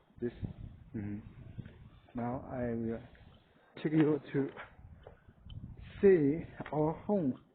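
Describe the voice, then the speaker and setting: A man with a Chinese accent speaks very slowly in a fairly high voice, pausing long and often, with ordinary pitch variation. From rural China. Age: 30s. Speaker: vlogger. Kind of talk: casual home tour. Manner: halting.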